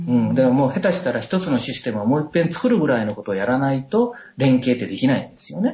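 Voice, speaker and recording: A man talks at a very fast pace and a medium pitch, with hardly any pauses. His voice is somewhat breathy and his intonation lively. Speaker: doctor and medical professor. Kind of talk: casual interview. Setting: Skype call.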